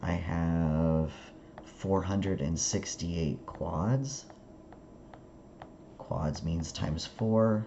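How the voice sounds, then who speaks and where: The speech is very slow, with long, frequent pauses and ordinary pitch variation. Room echo can be heard. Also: man. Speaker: statistics instructor. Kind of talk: lecture.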